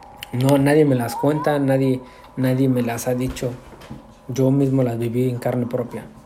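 A man speaks at a medium pitch in a flat monotone, with noticeable background noise and audible room echo. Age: 30s. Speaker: lay preacher. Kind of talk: testimony. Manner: halting.

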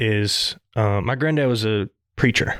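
In a Southern US accent, a man speaks at a medium pitch with a dry, close sound and no echo. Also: very clean recording, silent background. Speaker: podcast co-host. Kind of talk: casual chat.

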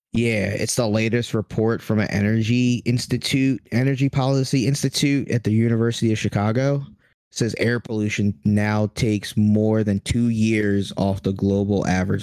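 A man speaks at a moderate pace in a fairly low pitch with hardly any pauses. It is a plain, everyday voice, with fairly even intonation and very even loudness. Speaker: podcast host. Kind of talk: casual comedy banter. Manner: joking, crude.

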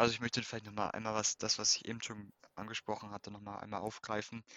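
Speaking at a very fast pace, a man holds a fairly low pitch in a monotone, flat intonation. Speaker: student, youth activist. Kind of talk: interview.

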